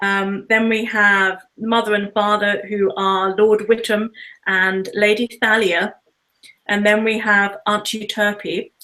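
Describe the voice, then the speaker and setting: A woman with a British accent speaks at a very slow pace, her medium pitch held in a monotone, flat intonation. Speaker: author. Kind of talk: interview.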